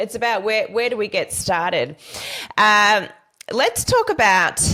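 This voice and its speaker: Speaking at a moderate pace, a woman talks in an Australian accent. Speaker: podcast host. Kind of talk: interview.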